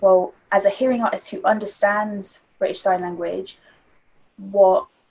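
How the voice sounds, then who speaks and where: A woman with a London accent speaks at a fairly slow pace in a medium pitch. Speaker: spoken word artist and theatre-maker. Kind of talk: interview answer.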